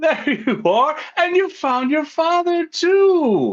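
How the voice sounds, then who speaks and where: Someone uses a put-on character voice, speaking at a very slow pace. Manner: confident, booming.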